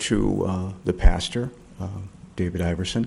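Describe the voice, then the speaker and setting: A man talks at a fairly slow pace, with a quiet background behind him. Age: 60s. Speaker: public commenter at council meeting. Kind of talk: public comment. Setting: town council chamber. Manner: halting.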